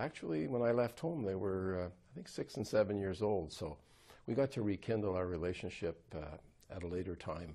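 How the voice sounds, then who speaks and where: This man has a dark, mellow tone and a fairly low pitch, with an Ontario accent. He talks at a fairly quick pace. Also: quiet background. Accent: Canadian (Ontario). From Ottawa Valley, Ontario, Canada; Ontario, Canada. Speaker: politician, former police officer; politician interviewee. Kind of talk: interview conversation. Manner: halting. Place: home room. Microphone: lapel.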